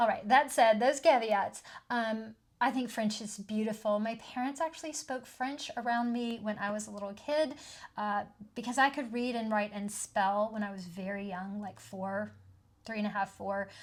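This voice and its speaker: In a very clean recording with a silent background, a woman speaks in a Southern US accent at a moderate pace. Her fairly high voice is somewhat breathy, with ordinary pitch variation. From US South (southeastern US). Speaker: tarot and oracle card video creator. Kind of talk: casual video monologue. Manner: chatty, frequent fillers (um, uh).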